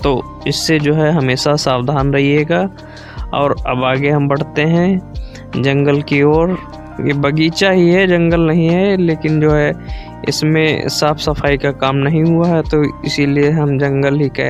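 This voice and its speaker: Music plays in the background as a man speaks with fairly high pitch and fairly even intonation. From Sitapur, Uttar Pradesh. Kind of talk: casual vlog narration to camera.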